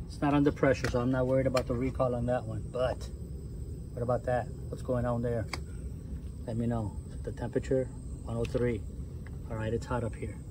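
Noticeable background noise under a man's fairly quick speech. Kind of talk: casual walkthrough commentary. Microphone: phone near.

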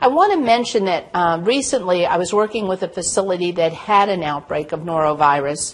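A woman's fairly low voice with ordinary pitch variation at a fairly quick pace

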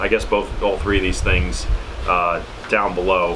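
Over noticeable background noise, a man with an American accent talks at a moderate pace with lively intonation. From New York City. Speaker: YouTuber reviewing survival gear; preparedness vlogger. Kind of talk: product tutorial. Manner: casual with frequent fillers. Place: home room.

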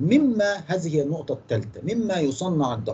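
A man with an Egyptian accent and a fairly high pitch speaks at a fairly slow pace. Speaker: engineering lecturer. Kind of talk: lecture. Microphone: video call.

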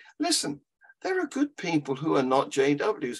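A man with an English accent at a fairly slow pace against a quiet background. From England. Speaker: atheist activist; podcast guest or co-host. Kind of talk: casual chat. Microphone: video call.

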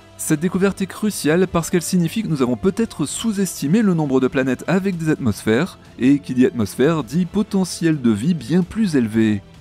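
A man talks at a fairly high pitch with very wide pitch swings. The sound is dry with no echo, and music plays in the background. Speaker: science news presenter. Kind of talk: space news show presentation. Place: home room. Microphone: studio mic.

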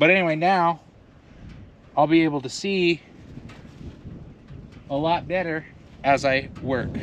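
This man talks at a fairly slow pace with ordinary pitch variation, and the sound is dry with no echo. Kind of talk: tutorial. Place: open country. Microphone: camera far.

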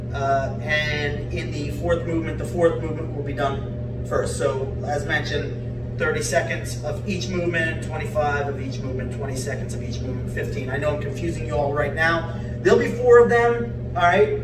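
Loud background noise fills the clip. A man talks with hardly any pauses. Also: moderate pace. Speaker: fitness instructor. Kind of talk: workout tutorial. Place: home room. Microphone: camera far.

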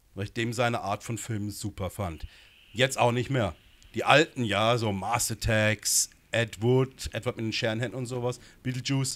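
With fairly even intonation, a man uses an ordinary speaking voice at medium pitch and a moderate pace. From Baden, southwest Germany (Gernsbach); Baden, Germany. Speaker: film director and screenwriter; interview guest. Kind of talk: interview. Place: studio. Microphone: handheld.

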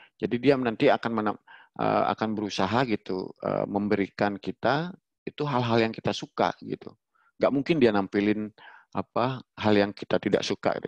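A man speaks at a moderate pace with a fairly low pitch. The sound is dry with no echo, and the background is quiet. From Bali. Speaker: webinar presenter. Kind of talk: online workshop presentation. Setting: video call. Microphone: headset.

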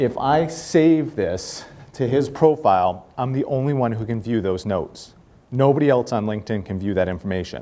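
A man with a Boston accent speaks at a moderate pace in a medium pitch, his dark, mellow tone carried by lively intonation. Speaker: corporate speaker and networking evangelist; speaker, networking evangelist. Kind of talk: guest talk to students. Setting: live talk to small audience. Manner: friendly, casual, humorous. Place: classroom.

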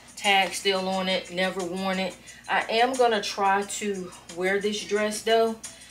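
A woman's fairly slow speech is accompanied by background music. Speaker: vlogger decluttering her closet. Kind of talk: casual vlog chat. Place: home room.

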